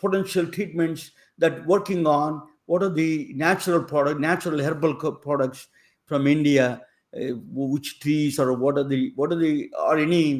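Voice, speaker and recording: The man, using a normal speaking voice, holds a fairly high pitch and fairly even intonation at a moderate pace. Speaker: podcast interviewer. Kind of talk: interview.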